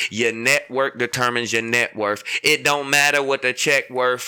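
A man with an American accent speaks in an animated tone with ordinary pitch variation. His tone is bright and sharp. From Battle Creek, Michigan. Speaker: podcast host. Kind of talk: casual chat.

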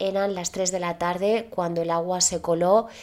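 Spoken at a fairly slow pace with a Spanish accent, the voice stays monotone and flat in intonation. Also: woman. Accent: Peninsular Spanish. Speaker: podcast host. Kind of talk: storytelling narration. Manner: casual, chatty.

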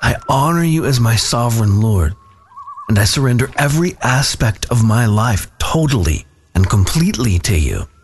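Against noticeable background noise, a man at a medium pitch speaks with very wide pitch swings and very even loudness. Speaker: prayer leader. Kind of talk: fervent prayer, devotional, spoken aloud. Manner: earnest, reverent, fervent; slow, measured, heartfelt.

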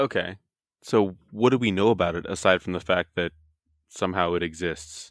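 At a moderate pace with ordinary pitch variation, the voice sounds dry and close with no echo in a very clean recording with a silent background. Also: man, very deep, low pitch for a man. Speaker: podcast host. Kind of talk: casual chat about science.

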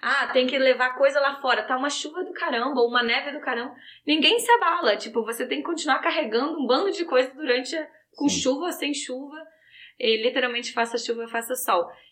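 With a Rio de Janeiro accent, a woman speaks in a high pitch with a bright, sharp tone. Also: ordinary pitch variation, fairly quick pace. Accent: Rio de Janeiro (carioca). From Brazil, Rio de Janeiro. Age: 30s. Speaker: fashion graduate, Brazilian immigrant. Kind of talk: casual chat. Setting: in person in a room with hosts.

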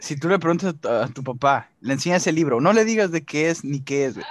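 Speaking at a fairly quick pace, a man uses a fairly high pitch with ordinary pitch variation. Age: 20s. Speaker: podcast co-host. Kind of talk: casual chat.

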